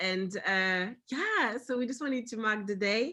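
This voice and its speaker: A woman's fairly high, bright, sharp voice in a French accent at a moderate pace. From France. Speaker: company founder and panel host. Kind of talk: virtual panel discussion. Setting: video call. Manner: halting, many fillers.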